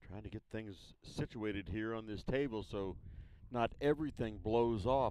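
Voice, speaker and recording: A man with an unremarkable speaking voice talks at medium pitch, the sound dry with no echo and some light background noise behind him. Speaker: sports commentator. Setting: outdoors at a baseball field broadcast. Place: stadium.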